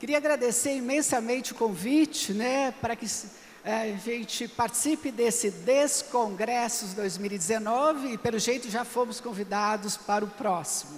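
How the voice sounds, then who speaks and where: Against noticeable background noise, a woman talks with hardly any pauses at a fairly high pitch and with ordinary pitch variation. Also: moderate pace. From Brazil, São Paulo. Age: 60s. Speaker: project committee president. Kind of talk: conference talk.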